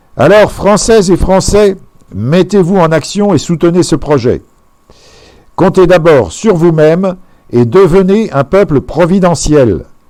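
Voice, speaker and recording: A man with a high, dark, mellow voice speaks very slowly, leaving long, frequent pauses. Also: ordinary pitch variation. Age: 60s. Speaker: presidential candidate. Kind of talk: campaign speech. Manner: formal.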